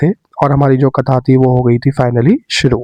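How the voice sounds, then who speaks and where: The man's voice is medium in pitch, with a dark, mellow tone. He keeps a moderate pace and fairly even intonation. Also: dry, close sound with no echo. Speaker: devotional vlogger. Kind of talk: vlog narration.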